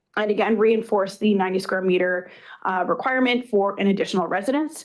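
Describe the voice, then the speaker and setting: Very fast speech from a woman at a medium pitch, fairly even intonation, quiet background. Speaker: municipal planning staff. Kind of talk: staff report presentation. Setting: council meeting.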